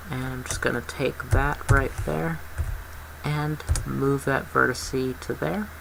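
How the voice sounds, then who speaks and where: The speaker goes at a fairly slow pace while noticeable background noise continues. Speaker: 3D modeling tutorial maker. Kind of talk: tutorial. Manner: casual, with frequent fillers.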